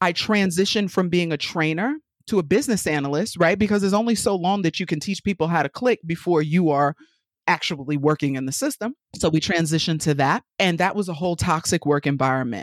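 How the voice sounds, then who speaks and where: A woman with a New York accent and a fairly low pitch talks at a very fast pace with lively intonation on a very clean recording with a silent background. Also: dry, close sound with no echo. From New York City. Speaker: business consultant. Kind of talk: casual interview. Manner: animated.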